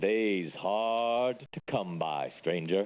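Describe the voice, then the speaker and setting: A man puts on a character voice at a fairly low pitch. His pitch varies in an ordinary way. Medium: video game. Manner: dry, morbid.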